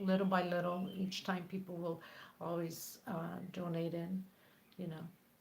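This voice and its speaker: Speech comes at a fairly slow pace in a monotone, flat intonation, with audible room echo. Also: woman, fairly low pitch for a woman. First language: not English. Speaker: crochet tutorial creator. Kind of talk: live stream chat. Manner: halting.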